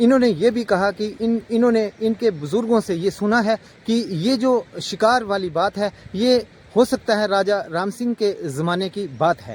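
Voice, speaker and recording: High pitch from a man, with ordinary variation in pitch. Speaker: vlogger. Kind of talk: vlog narration to camera.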